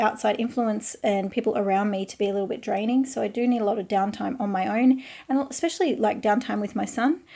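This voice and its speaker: A woman speaks at a fairly quick pace with an Australian accent. Her fairly high voice has a dark, mellow tone and ordinary pitch variation. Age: 30s. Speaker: artist and craft youtuber. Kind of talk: casual vlog talk while drawing.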